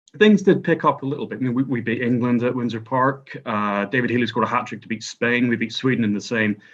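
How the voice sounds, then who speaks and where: A man talks at a very fast pace with hardly any pauses, his medium-pitched voice showing ordinary pitch variation. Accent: Northern Irish. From Northern Ireland. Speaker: historian and author. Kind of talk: podcast discussion.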